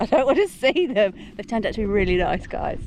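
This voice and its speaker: Very fast speech with very wide pitch swings plays over noticeable background noise. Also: woman. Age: 40s. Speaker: hiking vlogger. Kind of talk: casual vlog narration. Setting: outdoors on mountains.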